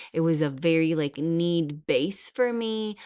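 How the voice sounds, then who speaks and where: In a non-native accent, a woman speaks with a very deep, low pitch and lively intonation. Her pace is fairly slow, against a quiet background. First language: not English. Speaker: podcast host and hypnotherapist. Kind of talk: podcast monologue. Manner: casual, conversational.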